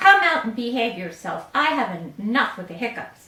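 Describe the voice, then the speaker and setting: A woman puts on a character voice, pitched fairly high and swinging very widely in pitch, with a slight echo. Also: moderate pace. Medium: read story.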